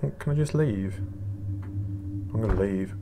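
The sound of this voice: Over clear background noise, a man speaks at a slow pace. His voice is fairly low with ordinary pitch variation.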